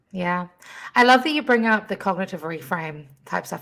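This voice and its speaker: A woman speaks in a New Zealand accent on a very clean recording with a silent background. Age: 30s. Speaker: podcast host and youth empowerment coach. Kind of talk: casual interview chat.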